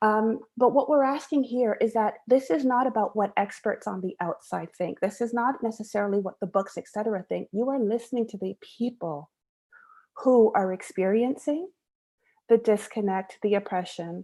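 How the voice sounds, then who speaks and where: Her tone is dark and mellow. The woman's pitch sits fairly high. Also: ordinary pitch variation. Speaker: education administrator. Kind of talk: webinar presentation. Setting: live-streamed webinar. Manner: fast.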